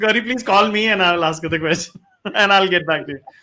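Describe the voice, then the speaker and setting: A man speaks in a raised, projected voice. His pace is fairly quick. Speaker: online talk show host. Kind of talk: live stream chat. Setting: Facebook Live video call. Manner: fast.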